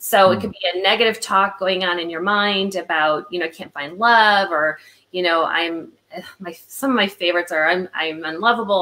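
A woman's fairly low voice with an American accent, a bright, sharp tone and a very fast pace. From Illinois, US Midwest. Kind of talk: casual interview chat. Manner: animated.

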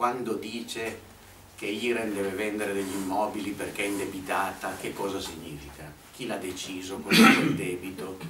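Audible room echo and light background noise surround a man's voice. He speaks fairly low in pitch at a moderate pace, with ordinary pitch variation. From Italy. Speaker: activist speaker; speaker. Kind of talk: talk at a public meeting. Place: meeting room. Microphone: camera far.

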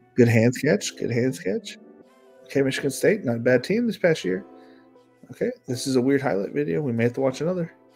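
Fairly quick male speech with very wide pitch swings and music in the background. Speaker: draft analyst streamer. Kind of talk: commentary.

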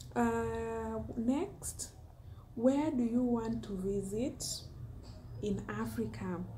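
A woman is speaking. Light noise sits in the background. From Kenya, Homa Bay County. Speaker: food and lifestyle YouTuber, teacher. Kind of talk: casual vlog Q&A monologue. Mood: cheerful, smiling. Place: home room. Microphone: phone near.

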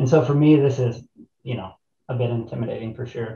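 In an American accent, a man with a somewhat breathy voice and a dark, mellow tone speaks fairly quickly with ordinary pitch variation, against a quiet background with audible room echo. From US Midwest, southern Illinois. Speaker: rafting company co-owner and army veteran; guest. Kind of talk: panel discussion. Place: office. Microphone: webcam.

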